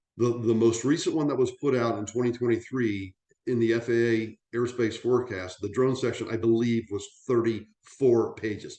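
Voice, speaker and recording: A man's medium-pitched voice, a normal speaking voice, at a moderate pace with fairly even intonation. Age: 60s. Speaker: aviation industry veteran presenting on drones. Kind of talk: webinar presentation. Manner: conversational with frequent fillers and restarts.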